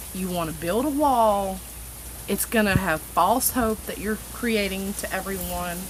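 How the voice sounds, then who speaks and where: Noticeable background noise sits under a woman who speaks at a fairly slow pace. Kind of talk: casual political rant to camera. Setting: outdoors. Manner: unscripted, halting, stutters.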